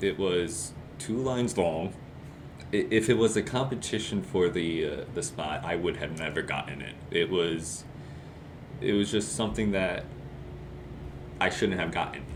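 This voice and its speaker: The intonation is lively, with long, frequent pauses. Audible room echo surrounds the voice. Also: man, very deep, low pitch for a man, moderate pace. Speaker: student sports announcer. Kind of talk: casual chat.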